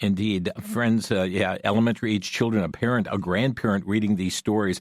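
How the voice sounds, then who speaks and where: A man with a fairly low voice speaks at a fairly quick pace on a very clean recording with a silent background. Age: 60s. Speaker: radio host. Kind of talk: radio interview. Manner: halting, many fillers.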